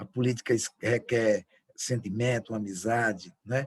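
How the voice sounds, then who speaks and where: A man's somewhat breathy voice at medium pitch, fairly even intonation, and a dry, close sound with no echo. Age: 60s. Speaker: politician. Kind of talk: closing speech. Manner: halting.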